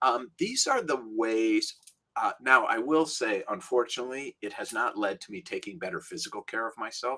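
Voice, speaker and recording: A man with an American accent speaks at a moderate pace and a medium pitch. His pitch varies in an ordinary way, while his loudness swings widely. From Minnesota, US Midwest. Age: 60s. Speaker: rabbi. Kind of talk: interview conversation. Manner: halting, many restarts.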